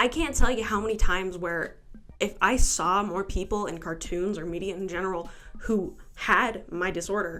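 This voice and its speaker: Music plays in the background as a woman speaks at a medium pitch and a moderate pace. Her loudness swings widely. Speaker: amateur video essayist. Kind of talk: video essay voice-over. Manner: casual, sarcastic.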